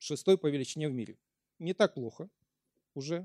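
The voice has a dark, mellow tone and ordinary pitch variation, heard as a dry, close sound with no echo on a very clean recording with a silent background. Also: man. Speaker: lecturer. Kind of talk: lecture. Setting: stage with audience.

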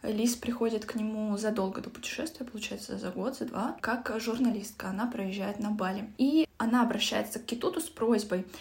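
A woman's calm, fairly high voice at a moderate pace, with hardly any pauses and noticeable background noise. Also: ordinary pitch variation. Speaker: book podcast host. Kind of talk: casual book discussion.

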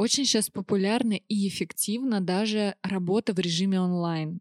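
A woman talks at a moderate pace and a medium pitch in a normal speaking voice. The sound is dry and close with no echo, on a very clean recording with a silent background. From Russia, Orenburg. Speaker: cosmetologist. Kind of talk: casual chat. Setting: studio.

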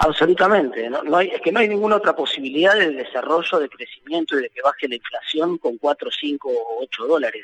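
A man talks at a fairly quick pace with hardly any pauses. The sound is dry and close with no echo, though noticeable background noise is present. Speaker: economist and national congressman. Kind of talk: phone interview.

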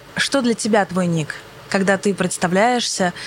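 A woman talks at a fairly quick pace while noticeable background noise carries on behind her. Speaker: podcast host. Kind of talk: casual interview chat. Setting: planetarium dome.

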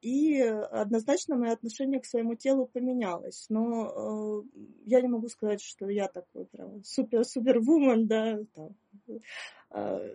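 A woman's fairly high voice, dark and mellow in tone, with big swings in loudness, ordinary pitch variation, a very slow pace and a dry, close sound with no echo. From Russia, Perm. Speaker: psychotherapist. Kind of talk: interview. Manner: halting.

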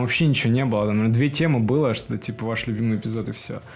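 A man talks with fairly even intonation and a moderate pace while noticeable background noise runs underneath. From Russia, Perm. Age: 20s. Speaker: cartoon fan community admin, petroleum engineer. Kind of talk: casual chat. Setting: studio.

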